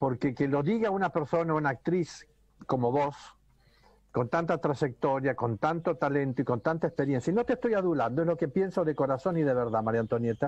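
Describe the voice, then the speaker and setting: Over a quiet background, a man speaks at a fairly quick pace. His pitch is fairly high, with ordinary pitch variation. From Argentina. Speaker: actor and comedian; actor, comedian. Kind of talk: casual chat. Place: home room. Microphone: video call.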